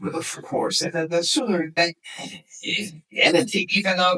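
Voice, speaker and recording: This man talks at a fairly quick pace in a high voice. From Hungary, Budapest. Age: 60s. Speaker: naturopath. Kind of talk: interview. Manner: halting.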